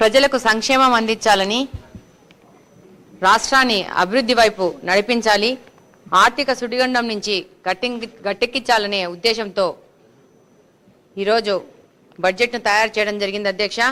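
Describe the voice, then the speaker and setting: A woman's fairly high voice has a bright, sharp tone and fairly even intonation. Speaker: politician. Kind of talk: legislative assembly speech.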